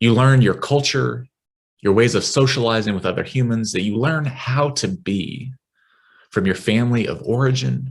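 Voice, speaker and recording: In a West Texas accent, a man speaks at a moderate pace and medium pitch, with ordinary pitch variation over a quiet background. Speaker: minister. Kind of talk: sermon. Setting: online worship service.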